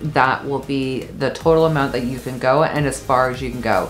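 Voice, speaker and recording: A woman with a very deep, low pitch speaks with ordinary pitch variation over light background noise. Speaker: travel vlogger. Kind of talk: travel tips talk to camera. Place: home room.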